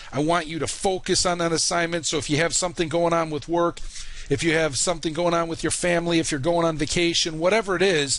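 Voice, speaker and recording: The speaker has a Chicago accent and talks at a very fast pace. Intonation is fairly even, with noticeable background noise. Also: man, high pitch for a man. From US Midwest, Chicago. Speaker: online college instructor. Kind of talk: course introduction video. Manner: casual, many fillers.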